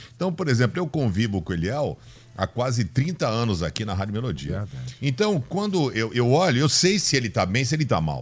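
A somewhat breathy man at medium pitch, with very wide pitch swings and a fairly quick pace. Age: 50s. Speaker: pastor. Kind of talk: radio panel debate.

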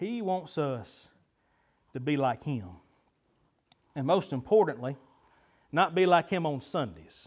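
A man's fairly high voice with lively intonation against a quiet background. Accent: Southern US. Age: 30s. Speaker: pastor. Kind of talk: sermon. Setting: church. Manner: animated.

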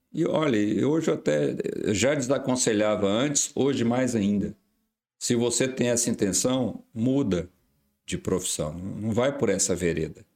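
A man in a normal speaking voice talks at a fairly slow pace and medium pitch, with lively intonation and very even loudness. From Brazil, Goiás interior. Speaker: vascular surgeon. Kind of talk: casual chat.

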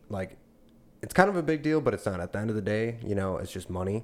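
A man talks at a fairly quick pace in a normal speaking voice. His pitch is fairly low, with ordinary pitch variation. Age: 20s. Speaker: former trucker, crane apprentice. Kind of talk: casual chat.

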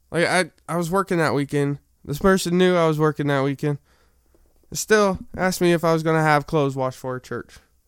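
The recording is very clean with a silent background and a dry, close sound with no echo. A man speaks with fairly even intonation. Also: fairly high pitch for a man, fairly quick pace. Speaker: podcaster. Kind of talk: storytelling monologue. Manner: halting.

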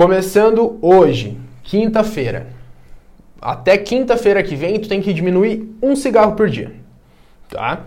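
A man talks very slowly, and audible room echo follows his words. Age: 20s. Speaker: physical education teacher and personal trainer. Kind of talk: casual podcast interview, streamed live.

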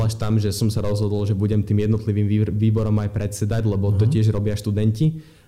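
A man's somewhat breathy voice, dark and mellow in tone, at a fairly quick pace. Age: young. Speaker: student activist. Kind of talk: interview.

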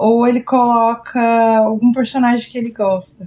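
Her delivery is fairly slow and monotone, with flat intonation, as a woman speaks at a fairly high pitch. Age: 30s. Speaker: podcast host. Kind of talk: casual chat.

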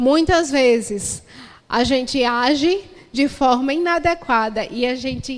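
The woman's high voice moves very slowly, its pitch rising and falling in an ordinary way. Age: 30s. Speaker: pastor. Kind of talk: sermon.

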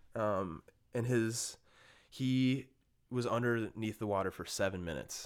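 On a very clean recording with a silent background, a man with an Upper Midwest accent speaks fairly slowly at medium pitch, with long, frequent pauses. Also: ordinary pitch variation. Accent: Upper Midwest American. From Minnesota, Bloomington. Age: 20s. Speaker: podcast guest, meditation practitioner. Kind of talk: casual chat.

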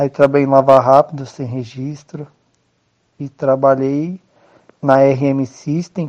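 Speaking very slowly, a man with a fairly high pitch keeps a monotone, flat intonation while his loudness swings widely. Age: 20s. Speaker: adult education student, self-employed worker. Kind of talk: interview.

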